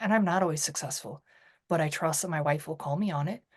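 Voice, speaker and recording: Against a quiet background, a woman is heard speaking. Her pitch is fairly low. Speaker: salon and spa owner, author, public speaker. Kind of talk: interview conversation. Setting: podcast. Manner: loud; animated.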